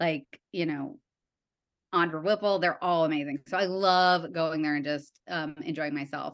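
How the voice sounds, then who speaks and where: In an American accent, a woman speaks at a moderate pace with a fairly low pitch, in an unremarkable speaking voice. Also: fairly even intonation. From US Midwest, Evanston near Chicago. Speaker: TV writer and art director. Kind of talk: casual interview chat.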